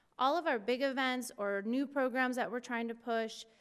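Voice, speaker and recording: Moderate in pace, a woman speaks in an unremarkable speaking voice, fairly high in pitch with ordinary pitch variation. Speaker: parks and recreation staff presenter. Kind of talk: presentation at public meeting. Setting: city commission meeting.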